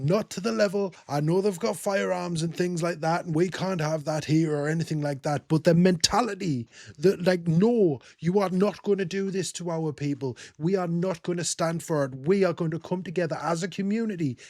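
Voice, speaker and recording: The recording is very clean with a silent background. A man with an English accent speaks at a high pitch with hardly any pauses. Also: ordinary pitch variation, moderate pace. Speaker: reaction video creator. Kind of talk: casual reaction commentary.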